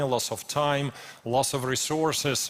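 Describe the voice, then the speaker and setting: A man's voice against noticeable background noise. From Ukraine. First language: Ukrainian or Russian. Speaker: preacher. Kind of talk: sermon. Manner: halting, with frequent repetitions and fillers.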